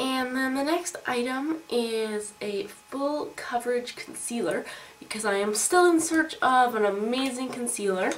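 A high-pitched woman's voice with lively intonation at a fairly slow pace, amid noticeable background noise. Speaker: beauty vlogger. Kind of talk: casual vlog haul.

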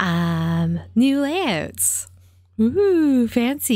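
A woman is heard against a quiet background, with a dry sound and no echo. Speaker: gaming streamer; game streamer. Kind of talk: casual chat. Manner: soft-spoken. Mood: upbeat, chatty. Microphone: new audio plugins, hopefully better sound; studio mic.

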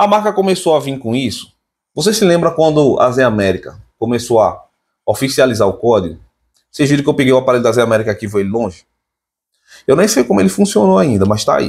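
The speech runs at a very fast pace with very wide pitch swings and long, frequent pauses, over a quiet background. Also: man. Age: 30s. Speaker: tech YouTuber. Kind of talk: casual vlog monologue. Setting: home. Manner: animated. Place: home room. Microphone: phone near.

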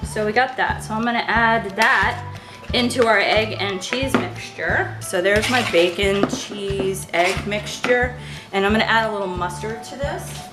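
Clear music plays in the background. The speaker keeps a fairly slow pace. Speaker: home cook vlogger. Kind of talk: casual cooking tutorial. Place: kitchen. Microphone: camera far.

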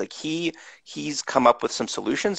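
Against a quiet background, a man speaks at a moderate pace, with a dry sound and no echo. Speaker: podcast host. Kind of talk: interview host introduction. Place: home room. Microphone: headset.

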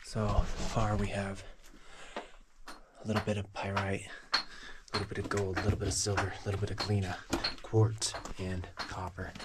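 A man talks with long, frequent pauses. Loud background noise runs underneath. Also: moderate pace. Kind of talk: casual vlog chat. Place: tunnel cave.

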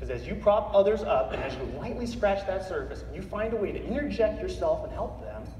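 Speaking at a very fast pace with hardly any pauses, the American-accented voice swings widely in loudness over light background noise and audible room echo. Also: man. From Northeastern Colorado. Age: 30s. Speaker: motivational speaker, Marine veteran. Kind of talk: keynote speech to a live audience. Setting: conference hall. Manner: earnest, emphatic. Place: hall.

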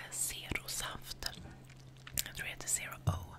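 A woman whispers quietly at a fairly slow pace. Noticeable background noise sits behind her. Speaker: ASMR creator. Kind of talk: ASMR whispered trigger words. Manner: quiet whisper right after a drink. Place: home room. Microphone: studio mic.

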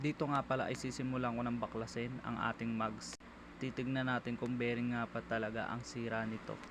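In a monotone, flat intonation, a man talks through his words at a fairly quick pace. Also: medium pitch for a man. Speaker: motorcycle ride-hailing driver and vlogger. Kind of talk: vlog voiceover narration. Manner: casual, fast.

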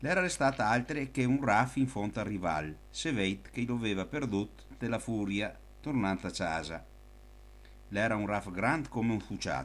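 Vocal fry runs through this man's lively intonation as he talks at a fairly slow pace. The recording is very clean, with a silent background. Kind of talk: folk anecdote told in local dialect.

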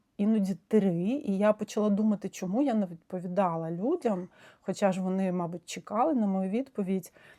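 The voice has a dark, mellow tone, ordinary pitch variation, and a moderate pace. The sound is dry and close with no echo, on a very clean recording with a silent background. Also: woman. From Ukraine. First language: Russian (speaking Ukrainian). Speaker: psychotherapist. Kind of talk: video monologue. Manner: hesitant, with frequent fillers.

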